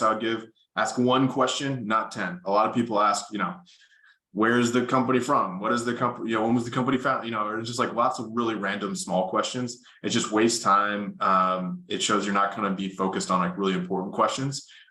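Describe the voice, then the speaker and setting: At a very fast pace, a man talks at medium pitch with ordinary pitch variation. Audible room echo surrounds his voice. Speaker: consulting interview coach. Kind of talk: workshop presentation. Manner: loud.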